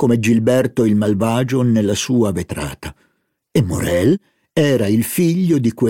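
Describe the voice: Someone reads plainly aloud. Little else can be heard around them.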